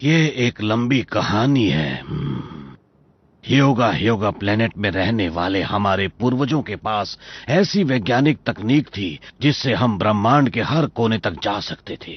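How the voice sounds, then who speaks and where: The man's voice is a put-on character voice, pitched at a medium level. His delivery is fairly slow. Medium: fan dub. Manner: warm, gentle.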